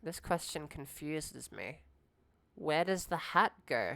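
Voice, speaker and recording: A woman with a very deep, low pitch and a bright, sharp tone speaks with vocal fry and ordinary pitch variation. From Australia. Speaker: streamer. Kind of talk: casual live stream chat. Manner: animated.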